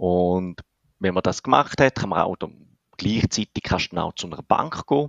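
A man's fairly low-pitched voice comes across dry and close, with no echo. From Switzerland, canton of St. Gallen. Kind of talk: explanatory interview. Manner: hesitant, many filler sounds.

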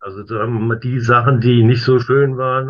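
His voice sits at a medium pitch. This man's delivery is flat and monotone. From Worms, Germany. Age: 50s. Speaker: stamp collector. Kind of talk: casual interview. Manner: halting, many fillers.

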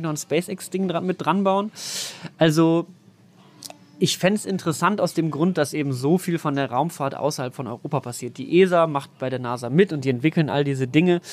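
A man talks at a fairly quick pace and a fairly high pitch. He has an unremarkable speaking voice with ordinary pitch variation. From western Germany, NRW near Düsseldorf (Mettmann). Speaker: science journalist and content creator. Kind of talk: casual explanatory interview. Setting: outdoors at an S-Bahn station and on a train.

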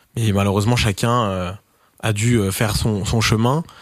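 A man speaks at a moderate pace in an ordinary speaking voice, his fairly low pitch held to fairly even intonation, on a very clean recording with a silent background and a dry, close sound with no echo. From France, Touraine. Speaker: record label founder and DJ. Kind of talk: casual interview.

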